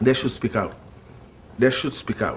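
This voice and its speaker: Somewhat breathy, a man talks with a non-native accent. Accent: foreign. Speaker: bystander.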